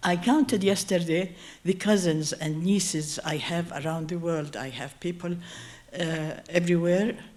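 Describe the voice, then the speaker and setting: Audible room echo surrounds a woman with a fairly low pitch. She talks at a moderate pace with ordinary pitch variation. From Jordan, Circassian community. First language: Kabardian. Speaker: community speaker on endangered language. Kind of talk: personal talk at event. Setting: stage with audience. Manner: halting.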